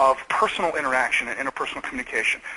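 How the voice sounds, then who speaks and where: Over noticeable background noise, a man with an American accent speaks in an animated tone. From US Midwest, Michigan. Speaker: video marketing expert. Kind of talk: webinar interview. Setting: webinar call. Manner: loud.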